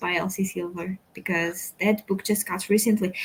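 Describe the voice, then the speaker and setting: Speaking at a moderate pace, a woman has a Portuguese accent. Her voice is somewhat breathy. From Portugal. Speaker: book youtuber. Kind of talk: casual chat.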